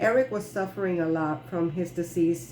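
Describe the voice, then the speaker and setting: A woman's voice in a Spanish accent, with lively intonation. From Puerto Rico. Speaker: clown and author reading her ebook. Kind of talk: reading aloud.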